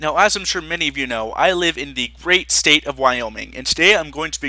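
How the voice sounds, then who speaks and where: A man with an American accent, a fairly high pitch, vocal fry, a bright, sharp tone and a fairly quick pace. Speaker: YouTuber. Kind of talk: casual vlog monologue.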